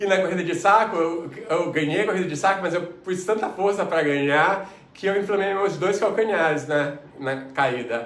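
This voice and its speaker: With noticeable background noise and audible room echo, the speaker keeps a moderate pace with hardly any pauses and ordinary pitch variation. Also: man, high pitch for a man. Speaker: mentor and coach. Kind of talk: online lecture.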